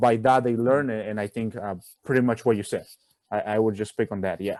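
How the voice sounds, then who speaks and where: In a very clean recording with a silent background, a man talks at a fairly quick pace with a medium pitch and fairly even intonation. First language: Spanish. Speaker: college student. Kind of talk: casual chat.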